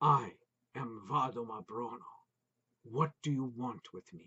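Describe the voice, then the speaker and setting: A man uses a put-on character voice at a medium pitch. His pace is fairly slow. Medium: read story. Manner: grave, formal.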